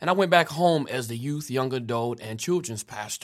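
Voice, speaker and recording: In a normal speaking voice, a man at medium pitch talks at a moderate pace with lively intonation, recorded very cleanly with a silent background. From Kansas. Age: 30s. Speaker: pastor. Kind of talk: casual interview.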